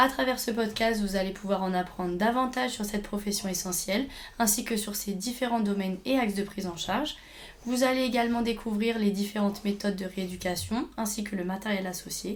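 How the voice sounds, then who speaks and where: With audible room echo around her, a woman talks at a fairly quick pace, her medium pitch showing ordinary variation. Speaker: podcast host, speech therapy student. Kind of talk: interview.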